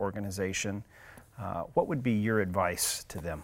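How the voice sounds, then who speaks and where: A man with a normal speaking voice, fairly low in pitch, with ordinary pitch variation. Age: 40s. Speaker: podcast host. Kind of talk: interview.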